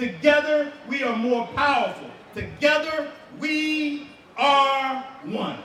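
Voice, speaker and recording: A man with an American accent speaks very slowly in a raised, projected voice at an extremely high pitch, with ordinary pitch variation. Room echo is audible, along with noticeable background noise. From United States. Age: 40s. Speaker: motivational speaker. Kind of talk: public speech. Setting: stage with large audience.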